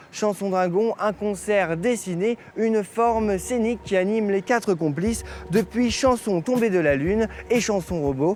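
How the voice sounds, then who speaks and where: A man with a high pitch and ordinary pitch variation talks at a fairly slow pace and very even loudness amid noticeable background noise. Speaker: TV presenter. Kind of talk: TV segment narration.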